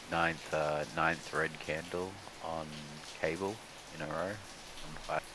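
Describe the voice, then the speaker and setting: Very deep, low male voice with an Australian accent, very slow and monotone, with long, frequent pauses and audible room echo. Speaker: day trader, livestream co-host. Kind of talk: casual chat over live trading.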